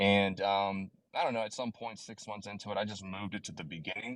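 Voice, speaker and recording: A man with a slight Southern US accent speaks at a moderate pace, his fairly low voice showing ordinary pitch variation. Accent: slight Southern twang. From US South, southern East Coast. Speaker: crypto YouTuber and mining engineer. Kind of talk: casual interview on a live audio space. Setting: online audio space.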